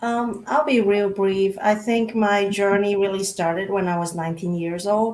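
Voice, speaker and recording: Against noticeable background noise, a woman with a non-native accent speaks at a moderate pace and a medium pitch. She keeps a fairly even intonation and hardly pauses. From Micronesia, South Pacific Islands. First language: not English. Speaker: diversity and inclusion practitioner. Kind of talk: panel conversation. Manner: halting.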